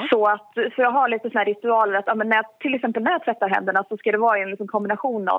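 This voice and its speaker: A woman with a plain, everyday voice speaks in fairly even intonation. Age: 20s. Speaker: mental health speaker. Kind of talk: interview. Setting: phone call.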